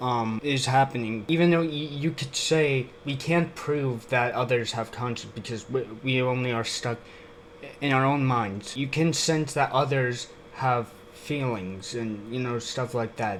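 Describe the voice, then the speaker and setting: Noticeable noise sits in the background. The man talks at a fairly slow pace. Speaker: YouTube reaction commentator. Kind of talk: video reaction commentary. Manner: emotionless, flat; halting, many fillers.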